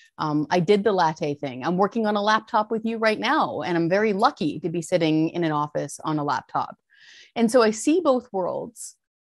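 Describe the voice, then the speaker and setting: A woman with a Canadian accent speaks at a moderate pace, her pitch swinging very widely. The background is quiet. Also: medium pitch for a woman, dry, close sound with no echo. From rural British Columbia, Fraser Canyon. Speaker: taxpayer advocacy researcher, former journalist. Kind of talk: interview.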